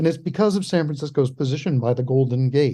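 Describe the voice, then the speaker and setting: In an American accent, a man with a fairly high pitch and a dark, mellow tone speaks at a fairly quick pace, somewhat breathy, over a quiet background. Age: 70s. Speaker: historian. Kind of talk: interview.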